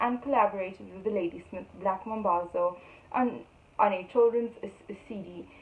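A woman at a moderate pace with fairly even intonation. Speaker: event presenter. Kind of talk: formal introduction. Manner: formal. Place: home room. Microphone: phone near.

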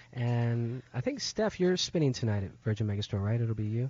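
A man's fairly quick, somewhat breathy voice, with a dry sound and no echo. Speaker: radio show host. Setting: radio studio. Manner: relaxed. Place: studio.

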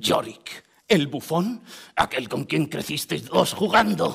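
Putting on a character voice, a man speaks fairly high and at a fairly slow pace. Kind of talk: classical verse theatre performance.

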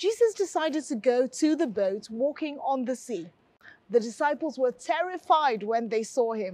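A woman speaks at a fairly slow pace, her pitch swinging very widely. The sound is dry with no echo, and the background is quiet. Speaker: pastor presenting a health. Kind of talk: sermon. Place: studio. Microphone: lapel.

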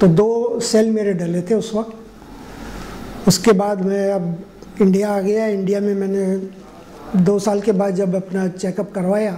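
The delivery is monotone and flat, at a very slow pace with hardly any pauses. Light background noise sits underneath. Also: man, high pitch for a man. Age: 60s. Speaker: heart patient. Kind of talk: patient testimonial interview. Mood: calm, satisfied. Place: office. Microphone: lapel.

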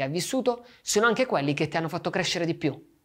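A man's voice against a quiet background. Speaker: meditation teacher. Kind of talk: guided meditation and reflective talk. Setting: video. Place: studio.

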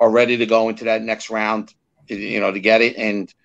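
A man with an American accent at a moderate pace, against a quiet background. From New Jersey, Fort Lee. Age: 50s. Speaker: small business consultant and podcast host. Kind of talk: casual political interview. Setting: live video stream. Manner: animated. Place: home room. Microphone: video call.

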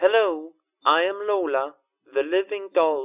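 A robotic, put-on character voice moves at a fairly slow pace. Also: man.

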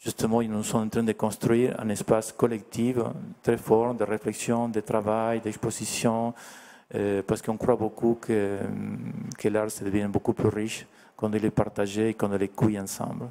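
A man with a Spanish accent at a fairly slow pace, fairly low in pitch with monotone, flat intonation and a dark, mellow tone. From Argentina. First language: Spanish (speaking French). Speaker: artist; guest. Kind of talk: interview. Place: hall. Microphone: handheld.

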